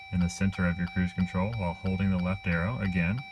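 The speech moves at a fairly quick pace, and noticeable background noise runs beneath it. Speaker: vehicle owner demonstrating a tool. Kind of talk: tutorial. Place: car. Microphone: phone near.

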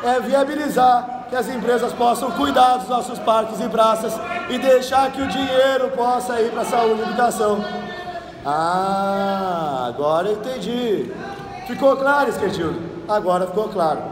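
A man speaks at an extremely high pitch, with ordinary pitch variation and a fairly slow pace. Noticeable background noise runs under his voice. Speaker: city councillor. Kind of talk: political speech. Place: hall. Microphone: phone near.

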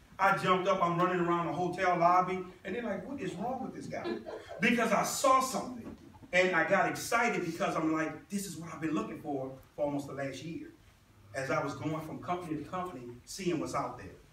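A man at a fairly quick pace, with audible room echo and light background noise. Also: lively intonation. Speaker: presenter. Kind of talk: motivational presentation. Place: meeting room. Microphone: camera far.

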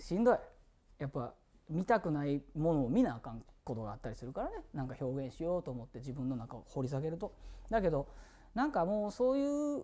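Very wide pitch swings mark this dark, mellow tone delivered at a fairly quick pace. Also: man. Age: 40s. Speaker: singer streaming a birthday live broadcast; musician hosting his birthday stream. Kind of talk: casual solo livestream talk. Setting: studio. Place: studio.

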